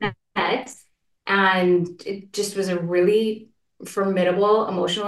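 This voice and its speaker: With a Canadian accent, a woman speaks at a medium pitch with ordinary pitch variation. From Canada, Saskatchewan. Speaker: entrepreneur and wellness guide. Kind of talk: interview, personal story. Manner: soft-spoken.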